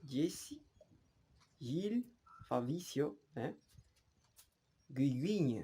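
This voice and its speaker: A man with a Spanish accent speaks at a very slow pace, leaving long, frequent pauses. His fairly high voice is dark, mellow and somewhat breathy, with very wide pitch swings. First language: Spanish (speaking French). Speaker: language learner vlogger. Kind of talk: casual vlog monologue. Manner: halting, many repetitions.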